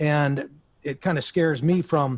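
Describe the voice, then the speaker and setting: A man's somewhat breathy voice at a fairly high pitch. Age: 60s. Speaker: aviation insurance broker. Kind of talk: roundtable discussion. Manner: halting.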